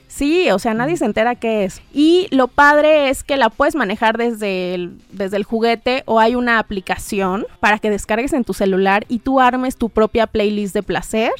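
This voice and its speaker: A woman talks at a moderate pace with hardly any pauses, using a normal speaking voice that is fairly high in pitch, with lively intonation and a dry, close sound with no echo. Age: 30s. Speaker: sexologist and psychologist. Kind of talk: casual chat.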